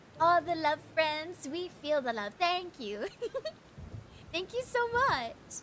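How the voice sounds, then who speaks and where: A woman speaks at a fairly slow pace in a high voice with very wide pitch swings, over noticeable background noise. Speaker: vtuber streamer and digital artist. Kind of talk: casual livestream chat with painting tutorial. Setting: livestream. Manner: soft-spoken; hesitant, with fillers and repeats.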